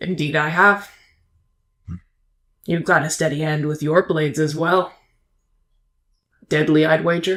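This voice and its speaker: A gruff, raspy put-on character voice at a middle pitch moves at a moderate pace with long, frequent pauses. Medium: actual play. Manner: gruff, terse, suspicious.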